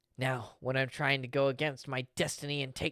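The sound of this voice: The voice heard here is an unforced reading voice.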